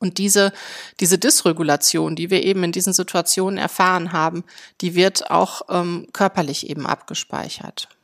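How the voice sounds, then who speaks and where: On a very clean recording with a silent background, a woman speaks at medium pitch and a moderate pace with fairly even intonation, the sound dry and close with no echo. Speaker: psychotherapy practitioner and podcast host. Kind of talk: solo podcast monologue. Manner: hesitant with frequent fillers.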